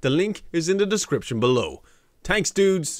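A man talks with very wide pitch swings. The sound is dry with no echo, and the background is quiet. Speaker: reaction video creator. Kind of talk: casual reaction commentary.

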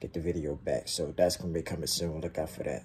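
A man speaks with a very deep, low pitch and a dark, mellow, relaxed tone. Light background noise is present. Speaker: YouTube reaction creator. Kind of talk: casual talk to camera. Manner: relaxed, casual. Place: home room. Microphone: phone near.

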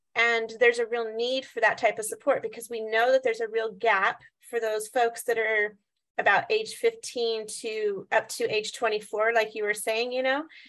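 A woman speaks in an unremarkable speaking voice with an American accent, her pitch fairly high. Her pace is moderate and her intonation fairly even. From Washington State. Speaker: behavioral health clinic worker. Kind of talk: discussion comment. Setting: video call. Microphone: video call.

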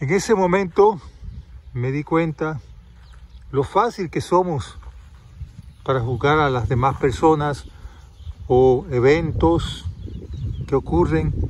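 In a calm, warm tone, a man speaks fairly high with very wide pitch swings, the sound dry with no echo and light background noise present. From Panama. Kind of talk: testimonial story told to camera, reflective, ending in a blessing and a moral. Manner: calm, unhurried, warm storyteller's delivery; indignant and dramatic in the story, then gentle and moralizing. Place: garden. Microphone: phone near.

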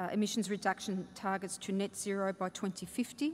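Monotone and flat, a woman with an Australian accent talks over light background noise. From Australia, Melbourne (Fawkner). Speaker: state government minister. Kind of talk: conference keynote speech. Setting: stage with audience. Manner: halting, with many fillers. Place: hall. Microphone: podium.

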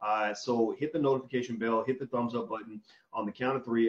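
A man at a very fast pace, with monotone, flat intonation. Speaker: interview host. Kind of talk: interview host talk. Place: home room. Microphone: video call.

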